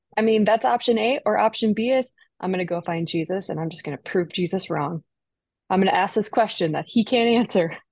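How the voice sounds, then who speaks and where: With an American accent, a woman speaks in a normal speaking voice at a fairly quick pace and medium pitch, with ordinary pitch variation. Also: dry, close sound with no echo. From Minnesota. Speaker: executive director of a church advocacy organization. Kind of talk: casual chat.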